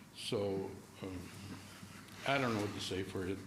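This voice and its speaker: A man's fairly low voice at a fairly quick pace, with audible room echo. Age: 70s. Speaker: resident giving public comment. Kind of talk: public comment. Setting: council chamber meeting.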